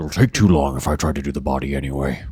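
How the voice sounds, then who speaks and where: Over light background noise, a man speaks at a very fast pace in a put-on character voice. It is raspy and very deep, with fairly even intonation. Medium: actual play. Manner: dry, aloof.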